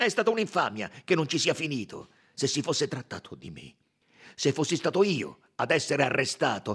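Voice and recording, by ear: A man's put-on character voice, fairly bright with a husky, rough edge, big pitch swings at a moderate pace, on a very clean recording with a silent background. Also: medium pitch for a man.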